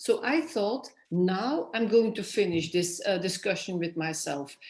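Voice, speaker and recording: With a Flemish accent, a somewhat breathy speaker moves at a fairly slow pace through very wide pitch swings, with audible room echo. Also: woman. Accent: Flemish Dutch accent in English. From Flanders, Belgium. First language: Dutch (Flemish). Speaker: author. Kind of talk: interview. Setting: festival stage. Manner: halting.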